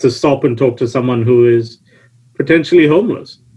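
With a British accent, a man speaks at a moderate pace in a medium, somewhat breathy voice with fairly even intonation. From UK, born in UK. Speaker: panelist, logistics professional and documentary co-producer. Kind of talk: panel discussion.

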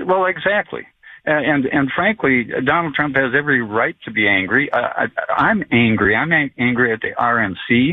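A man with an ordinary speaking voice talks in an American accent at a moderate pace. His pitch is fairly high, his intonation lively, and his loudness very even. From Florida. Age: 60s. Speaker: caller. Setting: phone call.

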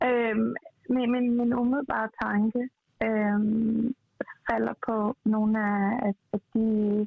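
A woman talks in a fairly high voice. The intonation stays monotone and flat. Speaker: TV personality and businesswoman. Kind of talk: casual discussion. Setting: phone call.

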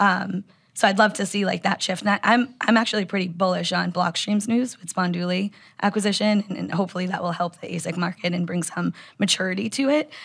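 Talking at a very fast pace, a woman has a medium pitch and vocal fry. Her pitch variation is ordinary. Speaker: bitcoin mining analyst. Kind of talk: casual interview conversation. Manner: frequent filler words.

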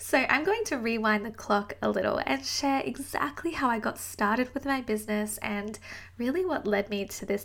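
Speaking at a moderate pace with hardly any pauses, a woman with an Australian accent has a fairly high pitch. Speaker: podcast host and business coach. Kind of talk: solo podcast monologue, personal story.

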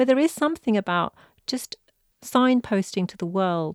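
A woman with a British accent and lively intonation, in a dry, close sound with no echo on a very clean recording with a silent background. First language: Punjabi. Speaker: poet and novelist, former human rights lawyer. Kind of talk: interview conversation. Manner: halting, with repetitions.

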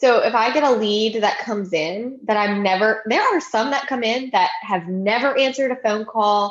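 A moderate pace in a Louisiana accent, with ordinary pitch variation. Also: woman. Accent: Southern US (Louisiana). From US South, Baton Rouge, Louisiana. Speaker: real estate agent, podcast co-host. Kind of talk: casual chat.

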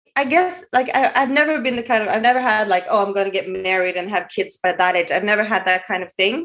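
With a Norwegian accent, a woman speaks at a very fast pace and fairly high pitch, with lively intonation and hardly any pauses. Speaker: caller. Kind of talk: advice call conversation.

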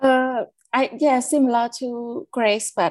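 Here a woman speaks with a Cambodian accent. Her pace is very slow. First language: Khmer. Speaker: care leaver and youth advocate. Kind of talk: interview testimony.

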